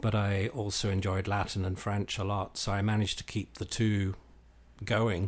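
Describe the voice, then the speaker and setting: In a Northern Irish accent, a man speaks at a fairly low pitch and a moderate pace. His intonation is monotone and flat, on a very clean recording with a silent background. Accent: Northern Irish-English British. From Northern Ireland and England. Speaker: classics professor. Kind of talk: interview conversation.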